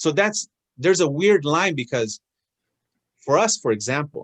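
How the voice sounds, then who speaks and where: The man's intonation is lively. He talks in a Spanish accent. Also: dry, close sound with no echo. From Oregon, US (Willamette Valley). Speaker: guest speaker, elected official, small business owner. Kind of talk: personal talk on a video call. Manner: hesitant, many fillers and restarts.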